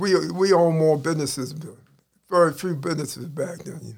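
There is vocal fry as a man speaks at a fairly quick pace, fairly high in pitch, with ordinary pitch variation and big swings in loudness. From Baltimore (East Baltimore, Park Heights). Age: 60s. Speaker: ex-convict. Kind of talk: casual interview.

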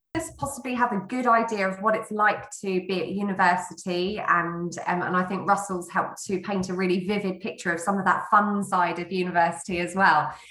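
Over noticeable background noise, a woman with a medium pitch speaks at a fairly quick pace, with fairly even intonation and hardly any pauses. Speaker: interviewer. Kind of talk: interview conversation.

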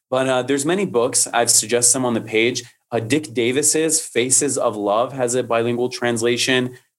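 A man with an ordinary speaking voice talks at a moderate pace and medium pitch, with hardly any pauses. His loudness stays very even, and his intonation fairly even. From Detroit, Michigan, US. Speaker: poetry translator and content creator. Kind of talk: casual interview.

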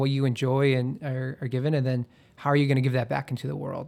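This is a man with a plain, everyday voice. His pitch is medium and his intonation fairly even. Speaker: alumnus guest. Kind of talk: casual interview. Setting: studio.

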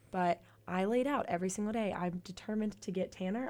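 Her unremarkable speaking voice sits at medium pitch for a woman, with fairly even intonation and a moderate pace. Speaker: college radio host. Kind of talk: casual chat. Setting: studio.

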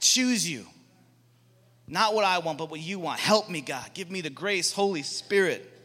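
A man's raised, projected voice, animated and bright, sharp in tone, high for a man, with ordinary pitch variation, a moderate pace, and a very clean recording with a silent background. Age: 40s. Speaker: guest speaker at a Bible school chapel. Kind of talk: sermon. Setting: chapel with live audience.

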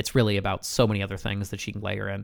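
Recorded very cleanly against a silent background, a man with a fairly low pitch speaks at a very fast pace. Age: 30s. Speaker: podcast host. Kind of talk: casual interview.

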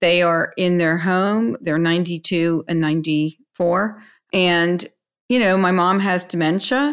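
With a normal speaking voice, a woman talks at a fairly slow pace and fairly low pitch with ordinary pitch variation, recorded very cleanly against a silent background. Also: very even loudness. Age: 60s. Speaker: podcast host, financial advisor. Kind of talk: interview chat.

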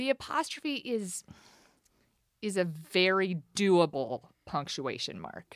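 A woman at a medium pitch, very slow in pace, with long, frequent pauses and very wide pitch swings. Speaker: church volunteer. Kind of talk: casual chat. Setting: studio.

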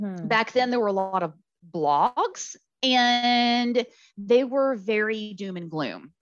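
A woman with a normal speaking voice talks fairly slowly, her pitch varying in an ordinary way. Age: 40s. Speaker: ovarian cancer survivor. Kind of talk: interview testimony.

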